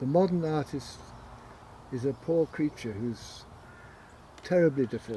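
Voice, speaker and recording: A man's somewhat breathy voice with a dark, mellow tone and lively intonation, at a moderate pace broken by long, frequent pauses. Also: fairly high pitch for a man. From southern England, Windsor. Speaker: author and arts organizer. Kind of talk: interview conversation.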